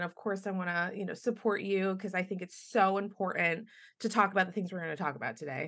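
A woman with an ordinary speaking voice talks at a fairly quick pace in a medium pitch with ordinary pitch variation, over a quiet background. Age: 30s. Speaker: podcast host and actor. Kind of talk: casual interview chat; scripted guest bio reading.

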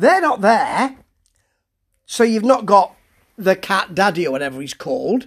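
A British accent at a moderate pace, broken by long, frequent pauses. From Britain. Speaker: wrestling show reviewer. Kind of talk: solo review monologue. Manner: hesitant, full of fillers; casual, chatty.

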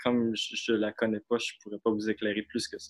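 The sound is dry and close with no echo. A man with an ordinary speaking voice talks at a medium pitch and a moderate pace. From Quebec, Saguenay. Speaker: student and slam poet. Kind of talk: casual chat. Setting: performance hall, on video call.

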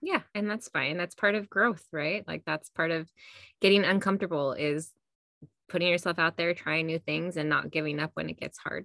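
Vocal fry over a bright, sharp tone, fairly even intonation, a moderate pace, and a dry, close sound with no echo. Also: woman, fairly low pitch for a woman. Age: 40s. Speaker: podcast co-host, mom. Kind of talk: casual chat. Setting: recording from her closet. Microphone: new podcasting mic.

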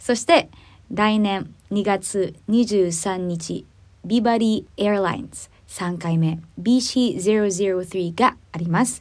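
A woman at a medium pitch, very slow in pace, with big swings in loudness. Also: ordinary pitch variation. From Philippines. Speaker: singer and podcast host. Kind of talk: casual chat. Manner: halting.

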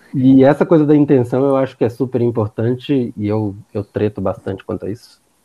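A plain, everyday voice from a man at medium pitch, fairly quick in pace, with hardly any pauses and ordinary pitch variation. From Bahia, Brazil (Barreiras, western Bahia). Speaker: psychiatrist. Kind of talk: casual chat.

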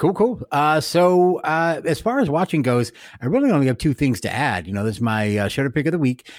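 On a very clean recording with a silent background, a man talks at a fairly quick pace with a fairly high pitch and very wide pitch swings. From Mexican-American family. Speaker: podcast host. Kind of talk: casual chat.

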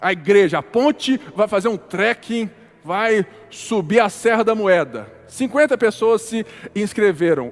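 Over noticeable background noise, a man with a high pitch speaks at a very slow pace. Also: ordinary pitch variation. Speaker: pastor. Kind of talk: sermon.

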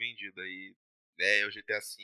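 A man's voice with a dry, close sound and no echo. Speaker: podcast host. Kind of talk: casual chat. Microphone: laptop webcam mic, lower voice quality.

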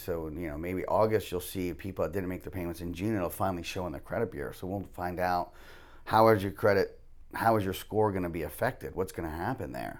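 This man has a very deep, low voice with ordinary pitch variation and a fairly quick pace. The recording is very clean, with a silent background. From US South. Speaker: mortgage lender. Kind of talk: casual interview.

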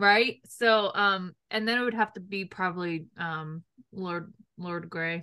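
A woman with an American accent speaks in a bright, sharp tone. Her pace is very slow and her intonation fairly even. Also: medium pitch for a woman. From New York. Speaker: podcast host. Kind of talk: casual chat.

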